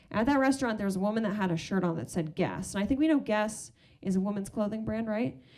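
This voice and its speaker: With an American accent, a woman speaks at a fairly high pitch and with lively intonation. Audible room echo surrounds her voice. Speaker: stand-up comedian. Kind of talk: stand-up. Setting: stage with audience.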